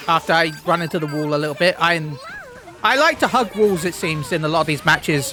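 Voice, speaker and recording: A man talking at a very fast pace with ordinary pitch variation, music in the background. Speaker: gaming YouTuber. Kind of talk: gameplay commentary. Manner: halting, repeats words.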